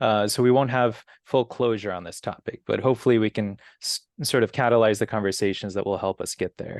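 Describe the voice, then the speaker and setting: In a quiet background, a man uses an ordinary speaking voice at medium pitch, with a dry, close sound and no echo. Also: fairly even intonation, fairly quick pace. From US, immigrant family from Brazil. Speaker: community organization president, moderator. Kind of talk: moderated interview.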